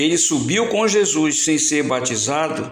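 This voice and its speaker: A man speaks at a fairly slow pace with a fairly high pitch and ordinary pitch variation. Music plays in the background, and some room echo is audible. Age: 60s. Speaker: evangelist preacher. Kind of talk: sermon.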